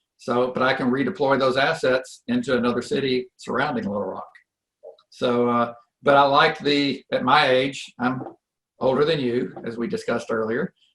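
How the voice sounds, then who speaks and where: A man with a plain, everyday voice at medium pitch, with ordinary pitch variation and a moderate pace. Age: 60s. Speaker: real estate investor. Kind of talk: interview. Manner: conversational, with filler words.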